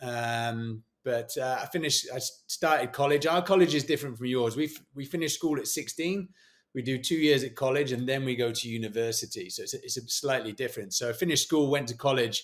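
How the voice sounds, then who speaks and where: A man with a British accent talks at medium pitch with ordinary pitch variation. He keeps a fairly quick pace with hardly any pauses. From England. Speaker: former special forces soldier and motivational speaker. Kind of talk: podcast interview.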